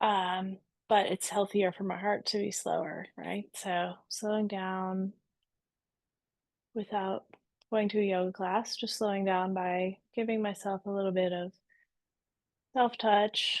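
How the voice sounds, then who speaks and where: At a fairly slow pace, a woman speaks in a relaxed tone with monotone, flat intonation and long, frequent pauses. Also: medium pitch for a woman. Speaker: embodiment coach. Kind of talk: online workshop. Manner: slowed down, relaxed.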